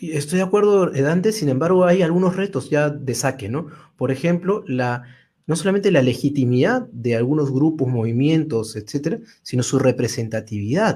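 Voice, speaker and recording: On a very clean recording with a silent background, a man with a fairly high pitch and lively intonation speaks in a dark, mellow, somewhat breathy tone. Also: moderate pace. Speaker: interview host, coach. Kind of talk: political interview.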